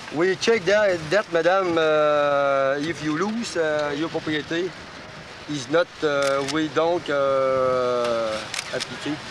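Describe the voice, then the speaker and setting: In a Quebec accent, the speaker goes at a very slow pace with noticeable background noise behind. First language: French. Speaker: police officer. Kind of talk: confrontation with civilians. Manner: halting.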